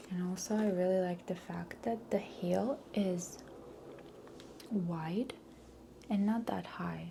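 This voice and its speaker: A soft-spoken woman talks at a very slow pace with medium pitch, ordinary pitch variation, and long, frequent pauses. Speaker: ASMR artist. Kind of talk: ASMR roleplay personal stylist session. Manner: soft-spoken, slow.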